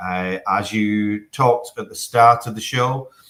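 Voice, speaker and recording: The speaker is a man with a northwest English accent. His intonation stays fairly even. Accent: broad northwest English. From northern England, Manchester. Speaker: telecom executive. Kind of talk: live interview. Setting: video link from office. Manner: hesitant with fillers.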